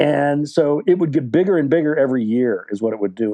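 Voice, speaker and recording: In an ordinary speaking voice, a man with an American accent talks at a fairly quick pace with lively intonation. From West Virginia, USA. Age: 60s. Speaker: novelist. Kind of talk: interview answer. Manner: casual, rambling.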